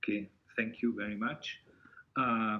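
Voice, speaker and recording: A man speaks with a Hungarian accent. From Hungary. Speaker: university lecturer. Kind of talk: online seminar presentation.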